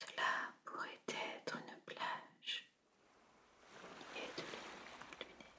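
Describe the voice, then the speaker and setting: Whispering at a very slow pace, a woman leaves long, frequent pauses amid noticeable background noise. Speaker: podcast host and relaxation guide. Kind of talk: guided relaxation for sleep. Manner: whispered, soft, slow.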